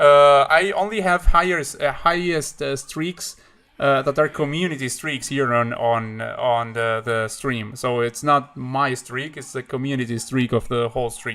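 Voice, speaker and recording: With a bright, sharp tone and medium pitch, a man speaks fairly slowly with hardly any pauses and ordinary pitch variation. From Uruguay. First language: Spanish. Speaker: chess streamer. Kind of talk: live stream chat. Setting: live stream. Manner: halting, many fillers and repeats.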